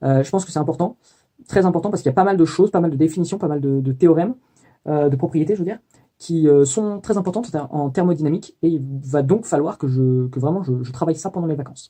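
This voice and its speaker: With a dark, mellow tone, a man talks at a very fast pace, his fairly high pitch showing ordinary variation. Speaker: student vlogger. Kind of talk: video diary. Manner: hesitant, many fillers.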